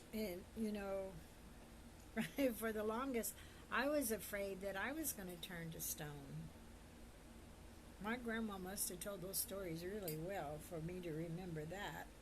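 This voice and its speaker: Amid noticeable background noise, a woman at medium pitch speaks with ordinary pitch variation and long, frequent pauses. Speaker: storyteller. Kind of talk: casual personal storytelling to camera. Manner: halting, searching for words.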